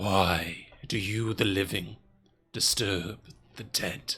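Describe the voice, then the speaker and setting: A put-on character voice sounds gravelly and raspy. It goes at a very slow pace. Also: man, fairly low pitch for a man. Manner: dead, eerie.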